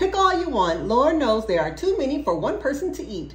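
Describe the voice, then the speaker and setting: A woman's put-on character voice, gruff and high-pitched, with very wide pitch swings, a fairly quick pace and clear background noise. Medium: read story. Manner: gruff, brusque.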